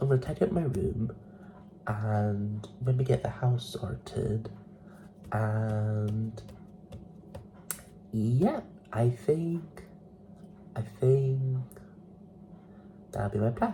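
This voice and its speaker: A man with a medium-pitched voice talks at a very slow pace, with ordinary pitch variation. He leaves long, frequent pauses, and background noise is noticeable. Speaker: vlogger. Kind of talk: casual vlog chat. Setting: at home.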